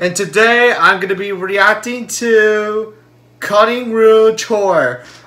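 A man speaks at a very slow pace in a raised, projected voice. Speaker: reaction video creator. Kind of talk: casual vlog chat. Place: home room. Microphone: webcam.

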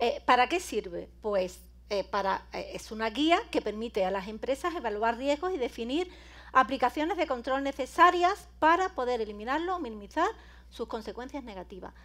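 At a moderate pace, a woman with an Andalusian accent speaks in an animated tone and a high pitch, with very wide pitch swings and big swings in loudness. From Andalusia, Spain. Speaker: cybersecurity speaker and lecturer; speaker, lecturer. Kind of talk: conference talk. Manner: animated, informal. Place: hall.

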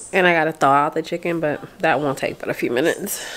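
The speech moves at a very fast pace over light background noise. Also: woman. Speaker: vlogger. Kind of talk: casual vlog chat. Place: home room. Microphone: phone near.

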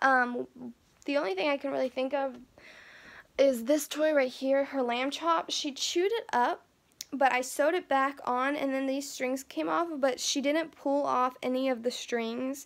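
Ordinary pitch variation runs through speech delivered at a moderate speed. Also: woman, high pitch for a woman. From Kentucky. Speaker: beauty vlogger. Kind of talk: casual vlog monologue. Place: home room. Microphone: phone near.

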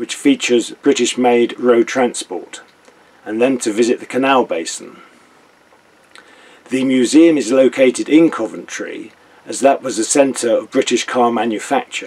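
Long, frequent pauses break up a man's speech, which moves at a moderate pace. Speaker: canal boat vlogger. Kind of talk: casual vlog chat. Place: boat. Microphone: webcam.

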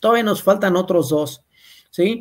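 The speech has lively intonation, heard over a quiet background. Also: man. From Mexico. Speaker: agronomist; presenter. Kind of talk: webinar lecture. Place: home room. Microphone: webcam.

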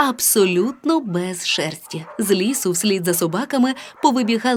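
Plain reading aloud carries lively intonation.

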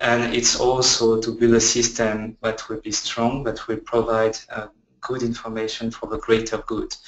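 A man at medium pitch with a French accent, moderate pace, and a monotone, flat intonation. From France. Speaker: research scientist. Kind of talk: webinar presentation. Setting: online webinar.

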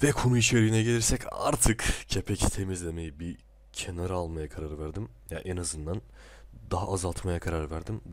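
This man has a very deep, low voice. He speaks at a moderate pace with lively intonation. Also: very clean recording, silent background. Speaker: video creator. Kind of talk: casual video commentary. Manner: chatty, self-deprecating, laughs often.

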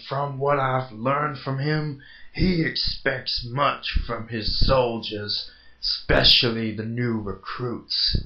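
In a put-on character voice, a man talks very slowly at a medium pitch. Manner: calm, wry.

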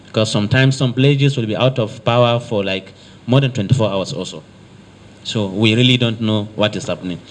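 With a Nigerian accent, a man talks at a fairly quick pace. His pitch varies in an ordinary way over light background noise. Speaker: state works commissioner, visiting official. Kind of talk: formal official meeting address. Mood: earnest, measured appeal. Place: meeting room. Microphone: handheld.

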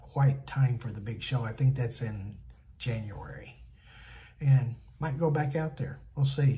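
Light background noise sits behind a man whose dark, mellow tone carries vocal fry and fairly even intonation. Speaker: van build vlogger. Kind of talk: casual vlog chat. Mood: relaxed, looking forward to trip. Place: home room. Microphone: phone near.

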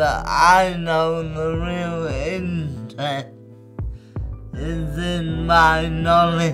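A man at a very slow pace, with clear music in the background. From London. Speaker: spoken word poet. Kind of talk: spoken word poetry. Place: home room. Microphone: lapel.

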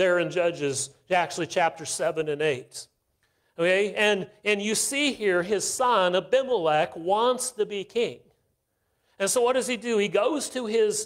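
A man's high-pitched voice at a fairly slow pace, with ordinary pitch variation and a quiet background. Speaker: visiting missionary preacher. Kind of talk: sermon. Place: church.

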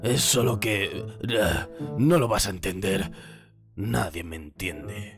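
Cartoonish character voice at a very slow pace with clear music in the background. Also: man, fairly low pitch for a man. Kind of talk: fan dub of cartoon. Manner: gloomy, sullen.

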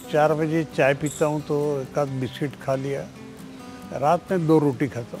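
Fairly slow pace and fairly even intonation, with a dry, echo-free sound and clear music in the background. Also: man, fairly high pitch for a man. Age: 80s+. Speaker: former politician and activist; interviewee. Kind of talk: interview. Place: garden.

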